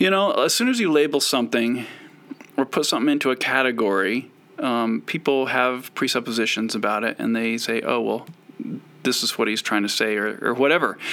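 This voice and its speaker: A man speaks with an American accent at a fairly quick pace. Noticeable background noise runs underneath. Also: medium pitch for a man, ordinary pitch variation. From US West (Idaho and Utah). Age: 40s. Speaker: comic artist. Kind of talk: casual interview. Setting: video call.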